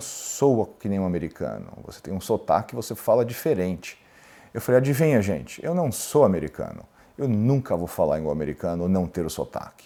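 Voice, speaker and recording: With a dark, mellow tone and very wide pitch swings, a man talks at a fairly quick pace on a very clean recording with a silent background. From Brazil, São Paulo. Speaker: lawyer and entrepreneur. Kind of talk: interview storytelling.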